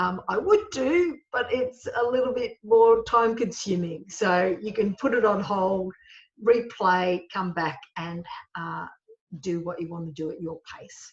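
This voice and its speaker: A woman speaks in a normal speaking voice at a medium pitch and a fairly slow pace. Her pitch varies in an ordinary way, while her loudness swings widely. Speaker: HR trainer. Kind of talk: webinar lecture. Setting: solo webinar recording.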